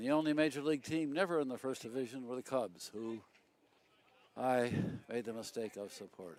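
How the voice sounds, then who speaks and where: A man's fairly quick speech with an American accent, medium in pitch with ordinary variation and long, frequent pauses. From US Midwest, Chicago south side. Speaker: baseball commentator. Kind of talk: live commentary.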